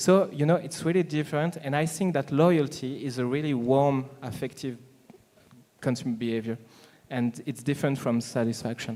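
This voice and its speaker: Speaking at a moderate pace with a French accent, a man uses a fairly high pitch. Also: ordinary pitch variation. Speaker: panelist, marketing speaker. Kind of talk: panel discussion. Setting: conference stage with audience. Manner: halting, many fillers.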